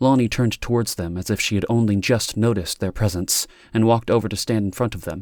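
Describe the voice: A plain read-aloud passage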